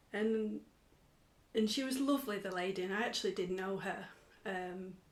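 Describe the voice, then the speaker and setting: Audible room echo surrounds the speaker. A woman talks at a moderate pace. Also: medium pitch for a woman, ordinary pitch variation. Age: 30s. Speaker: mother, podcast guest. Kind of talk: interview. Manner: hesitant, many fillers.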